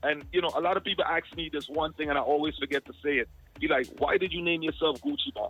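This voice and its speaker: A man talks at a very fast pace with a slight Jamaican accent. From Guyana and Jamaica. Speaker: music artist and event promoter. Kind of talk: casual interview. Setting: phone call.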